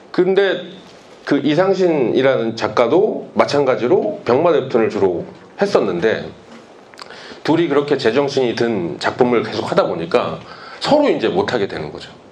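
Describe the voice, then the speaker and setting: Against noticeable background noise and audible room echo, a man with a fairly high voice talks at a moderate pace, using very wide pitch swings. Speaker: webtoon artist. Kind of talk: lecture. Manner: hesitant, with pauses.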